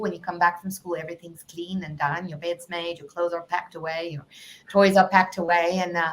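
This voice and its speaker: At a fairly quick pace, a woman with a South African accent talks at a medium pitch. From South Africa, Cape Town. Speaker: life coach. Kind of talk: podcast interview.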